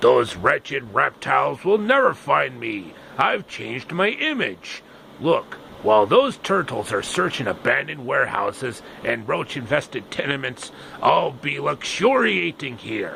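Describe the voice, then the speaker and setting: A man performs a put-on character voice at a moderate pace. Clear background noise sits behind him. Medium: solo performance. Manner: snarling.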